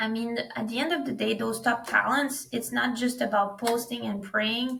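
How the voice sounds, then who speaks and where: This woman speaks with a French accent at a fairly high pitch. Her pace is moderate and her pitch varies in an ordinary way. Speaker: recruitment startup founder. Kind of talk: podcast interview.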